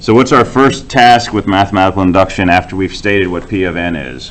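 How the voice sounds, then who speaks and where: Amid audible room echo and noticeable background noise, a man with a very deep, low voice talks at a moderate pace with ordinary pitch variation. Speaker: university lecturer. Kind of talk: lecture. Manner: loud.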